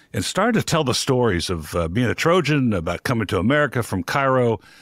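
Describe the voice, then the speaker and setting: At a fairly quick pace, a man speaks against a quiet background, the sound dry with no echo. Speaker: podcast host. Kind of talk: podcast intro and ad read. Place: studio. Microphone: studio mic.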